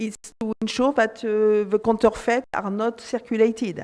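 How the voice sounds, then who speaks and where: On a very clean recording with a silent background, a woman with a French accent and a fairly high pitch speaks at a moderate pace. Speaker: panelist, regulatory affairs expert. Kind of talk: conference panel talk. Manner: hesitant, many fillers.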